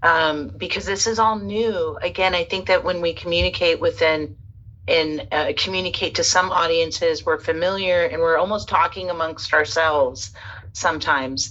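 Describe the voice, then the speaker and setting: A woman talks at a moderate pace while noticeable noise fills the background. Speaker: spiritual interviewer. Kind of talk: interview. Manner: halting.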